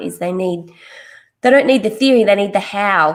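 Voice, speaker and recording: A woman speaks with an Australian accent. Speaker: podcast host. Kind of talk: podcast interview.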